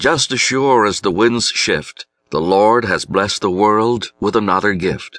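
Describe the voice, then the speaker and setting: A bright, sharp tone at a fairly slow pace, with a dry, close sound, no echo, and a quiet background. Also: man. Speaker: audiobook narrator. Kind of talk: poetry reading, audiobook narration of rhyming verse. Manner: measured, rhythmic, reflective.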